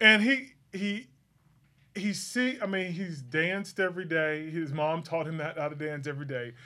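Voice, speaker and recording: A man's high-pitched voice, bright and sharp in tone, with lively intonation. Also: moderate pace. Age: 40s. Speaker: podcast co-host. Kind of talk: casual chat.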